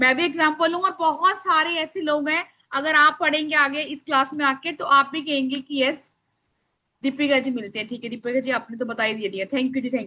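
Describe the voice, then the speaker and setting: A woman uses a raised, projected voice with a high pitch, a bright, sharp tone and ordinary pitch variation. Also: moderate pace. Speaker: spiritual workshop teacher. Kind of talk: online workshop class. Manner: loud.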